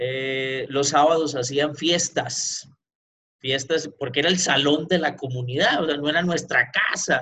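Talking at a fairly slow pace, a man has a fairly high pitch, a bright, sharp tone and ordinary pitch variation. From Pereira, Colombia. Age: 40s. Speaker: entrepreneur sharing his life story. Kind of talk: interview, personal life story.

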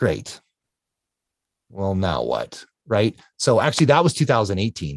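With a Canadian accent, a man talks at a fairly slow pace in a fairly low voice with vocal fry, his pitch swinging very widely between long, frequent pauses, recorded dry and close with no echo. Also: quiet background. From Canada. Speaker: ultra-endurance athlete. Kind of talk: interview storytelling.

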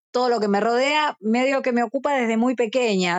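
Here a woman speaks with a high pitch. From Argentina, Buenos Aires suburbs. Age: 50s. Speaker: rock musician. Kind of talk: interview. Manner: talkative.

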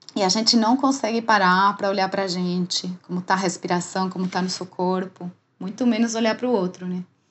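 Speaking at a moderate pace, a woman sounds somewhat breathy, with ordinary pitch variation. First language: Spanish (speaking Portuguese). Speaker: dancer and menopause educator. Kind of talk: casual interview chat.

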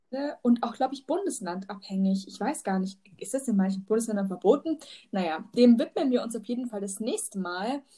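Speaking at a fairly quick pace, a woman with a fairly high pitch and a dark, mellow, somewhat breathy tone uses lively intonation and big swings in loudness. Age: 20s. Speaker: teaching student and podcast host. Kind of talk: casual chat. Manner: hesitant, many fillers.

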